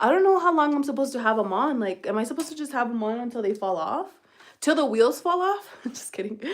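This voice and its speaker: A woman with a slight Spanish accent speaks in a high voice, her tone animated and her intonation lively. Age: 30s. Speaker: beauty livestreamer. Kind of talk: casual live-stream chat. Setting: live stream.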